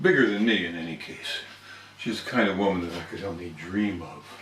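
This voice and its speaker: There is noticeable background noise. Over it, a man talks at a moderate pace, his pitch varying in an ordinary way. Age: 60s. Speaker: toastmasters member. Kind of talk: storytelling speech.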